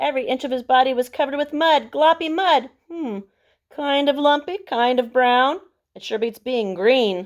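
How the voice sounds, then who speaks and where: A woman puts on a high-pitched character voice, speaking at a moderate pace. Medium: read story. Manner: excitable, fretful.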